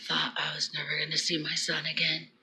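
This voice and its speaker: At a moderate pace, a woman whispers over noticeable background noise. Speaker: vlogger sharing prophetic dreams. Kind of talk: casual vlog monologue. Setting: at home early morning. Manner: quiet, hushed; halting, many fillers.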